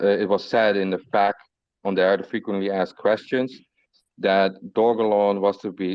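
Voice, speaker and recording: A man speaks with a non-native accent in a flat, monotone intonation. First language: not English. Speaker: community moderator of crypto group. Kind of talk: casual group voice chat.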